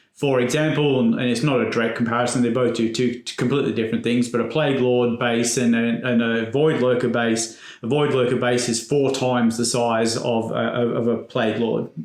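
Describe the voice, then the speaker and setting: A man with an English accent speaks at a fairly quick pace with hardly any pauses, in a monotone with flat intonation. His loudness stays very even, and there is audible room echo. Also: medium pitch for a man. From England. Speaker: podcast co-host. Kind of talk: casual podcast chat.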